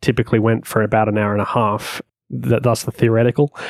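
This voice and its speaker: A man with an Australian accent speaks at a fairly quick pace on a very clean recording with a silent background, the sound dry and close with no echo. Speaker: web and iOS developer. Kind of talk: casual chat. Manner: halting.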